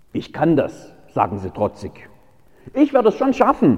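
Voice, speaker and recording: A man talks at a moderate pace with very wide pitch swings and vocal fry. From Baden-Württemberg. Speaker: pastor. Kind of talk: sermon.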